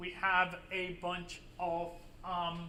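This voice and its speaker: A man speaks at a high pitch in a raised, projected voice. Audible room echo surrounds him. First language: Spanish. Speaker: university professor. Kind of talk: lecture. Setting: classroom with students. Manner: casual with frequent fillers.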